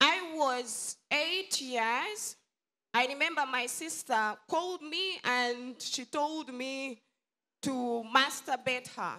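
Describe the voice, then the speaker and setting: A woman's raised, projected voice, very slow in pace, with lively intonation. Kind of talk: testimony. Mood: serious, troubled confession. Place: church. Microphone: handheld.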